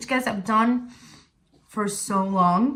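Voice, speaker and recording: Her voice is fairly high-pitched and bright and sharp, with ordinary pitch variation. The woman speaks at a very slow pace, and room echo is audible. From Italy, Sicily. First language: Italian. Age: 20s. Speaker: vlogger. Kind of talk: casual talk to camera. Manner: halting.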